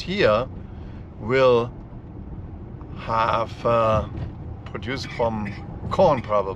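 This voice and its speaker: The pitch variation is ordinary. Audible room echo can be heard. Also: man. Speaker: travel vlogger. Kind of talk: casual road trip narration. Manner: loud.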